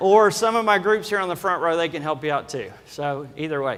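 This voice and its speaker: A man speaks with a Kentucky accent. His pitch is high and his pace fairly quick. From Kentucky, Lexington. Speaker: loan officer. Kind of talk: conference talk. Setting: stage with audience.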